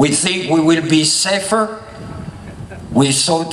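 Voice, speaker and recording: A man with a fairly high pitch at a very slow pace, with audible room echo and noticeable background noise. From France (Paris, Normandy). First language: French. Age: 70s. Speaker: public speaker, D-Day remembrance advocate. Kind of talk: public speech.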